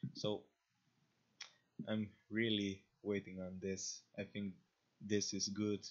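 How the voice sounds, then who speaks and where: A man with a Slavic accent speaks in a fairly low, monotone, flat voice. His pace is very slow, with long, frequent pauses. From Slavic country. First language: Slavic language. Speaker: crypto community streamer. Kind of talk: casual livestream talk. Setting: livestream. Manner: halting, many fillers and restarts. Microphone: connection issues, lag.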